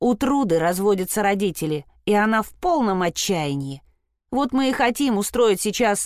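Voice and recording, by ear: Lively intonation shapes the delivery as the speaker is reading aloud in a natural voice, with a quiet background.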